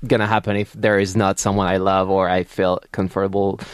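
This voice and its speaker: A man with a French accent against a quiet background. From France, Paris. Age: 30s. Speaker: TV personality and cookbook author. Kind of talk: casual interview.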